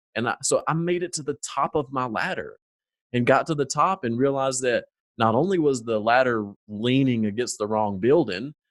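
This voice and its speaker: A man with a strong Southern US accent, in a dry, close sound with no echo. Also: medium pitch for a man, ordinary pitch variation, moderate pace, very clean recording, silent background. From US South, North Carolina foothills. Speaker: former corporate manager, business owner. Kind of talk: interview conversation.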